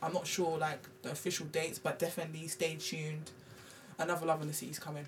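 Over noticeable background noise, a woman with a London accent speaks at a fairly low pitch. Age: 20s. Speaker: hair extension business owner. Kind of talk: casual chat.

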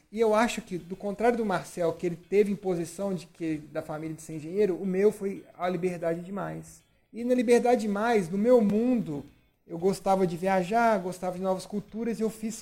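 A man with a high pitch at a fairly quick pace, with fairly even intonation over background music. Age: 30s. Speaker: podcast host. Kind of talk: casual chat.

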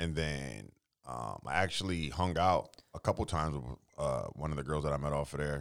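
A man speaks in a very deep, low pitch with vocal fry. His pitch varies in an ordinary way. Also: moderate pace. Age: 30s. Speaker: podcast co-host. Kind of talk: casual chat.

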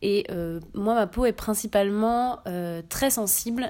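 Over a silent background in a very clean recording, a woman at a medium pitch has an ordinary speaking voice. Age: 20s. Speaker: community manager presenting a beauty podcast. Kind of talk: product review monologue.

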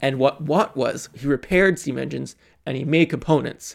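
With a Canadian accent, a man talks at a moderate pace in a fairly high voice, showing ordinary pitch variation and vocal fry. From Montreal, Canada. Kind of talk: casual chat.

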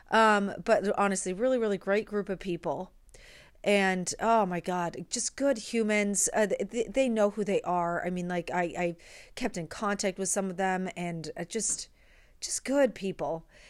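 A woman with a medium-pitched, unremarkable speaking voice talks at a fairly slow pace with ordinary pitch variation. The recording is very clean, with a silent background. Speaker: musical theater performer and podcast host. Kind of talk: solo monologue, personal story. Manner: casual, conversational, self-correcting.

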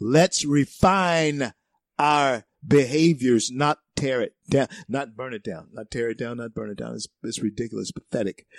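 Animated in tone, a man with a medium-pitched voice speaks at a fairly slow pace with ordinary pitch variation. The sound is dry and close, with no echo and a quiet background. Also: big swings in loudness. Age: 60s. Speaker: conservative talk radio host. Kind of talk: talk radio monologue. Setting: studio.

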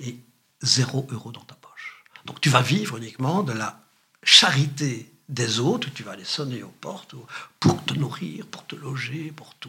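Here is a normal speaking voice with lively intonation and big swings in loudness. The pace is fairly slow. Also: man, medium pitch for a man. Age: 60s. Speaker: retired journalist and journalism lecturer. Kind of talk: interview conversation.

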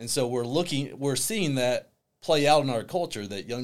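A plain, everyday voice from a man, with ordinary pitch variation at a moderate pace. The recording is very clean, with a silent background. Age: 40s. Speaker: counselor for young people. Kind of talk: interview.

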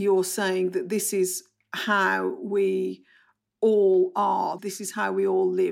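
A woman speaks at a very slow pace on a very clean recording with a silent background. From Bromley, south London. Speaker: anthology editor and author. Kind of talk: interview.

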